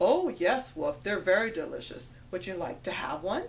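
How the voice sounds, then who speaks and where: Using a put-on character voice, a woman with a medium pitch speaks at a moderate pace over clear background noise. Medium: read story.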